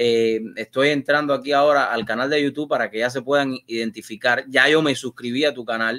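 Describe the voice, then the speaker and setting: Against a quiet background, a man with a bright, sharp tone and fairly even intonation speaks at a fairly quick pace, with hardly any pauses. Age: 40s. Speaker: TV and online show host; online show host. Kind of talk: live interview show. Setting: studio. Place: home room. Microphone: video call.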